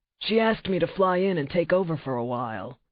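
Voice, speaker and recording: A put-on character voice, raspy and middle-pitched, rattles along at a very fast pace. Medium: read story.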